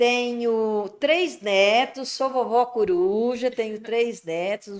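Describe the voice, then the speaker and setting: Using ordinary pitch variation, a woman with a fairly high pitch talks at a very slow pace. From Brazil, Morro Agudo, São Paulo state. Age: 60s. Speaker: special education school director. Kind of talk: interview.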